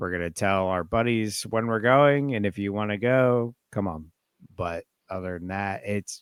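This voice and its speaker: A man with an American accent talks in a plain, everyday voice, fairly low in pitch with ordinary pitch variation and a moderate pace. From South Carolina, US South. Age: 20s. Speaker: reptile hobbyist. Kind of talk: casual chat.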